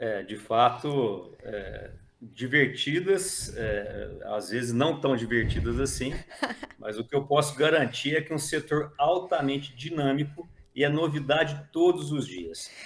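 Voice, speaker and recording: A man speaks fairly slowly at a fairly high pitch, with ordinary pitch variation. Noticeable background noise can be heard. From Brazil, near Minas Gerais border. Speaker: dairy industry manager, agronomist. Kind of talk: interview. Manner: hesitant, many fillers.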